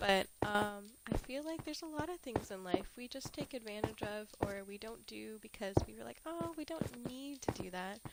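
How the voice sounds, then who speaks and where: A woman with a fairly high pitch talks at a moderate pace, her voice making very wide pitch swings and big swings in loudness. There is noticeable background noise. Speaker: streamer. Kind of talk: casual livestream chat. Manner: casual, filler-heavy.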